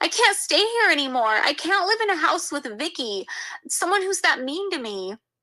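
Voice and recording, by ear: This is a put-on character voice with a bright, sharp tone. It runs at a moderate pace with big pitch swings. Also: woman, extremely high pitch for a woman.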